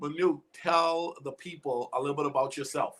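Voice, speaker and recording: Here a man talks with a Bahamian accent. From Bahamas. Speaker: life coach and talk show host. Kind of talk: live online interview. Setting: live video stream. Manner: animated.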